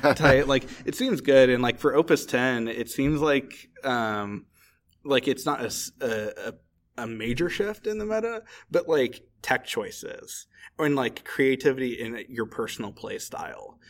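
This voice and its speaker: On a very clean recording with a silent background, a man with an American accent and an unremarkable speaking voice talks at a fairly slow pace, his fairly high pitch carried by lively intonation. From Indianapolis, Indiana, US Midwest. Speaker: podcast co-host and card game player. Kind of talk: casual chat.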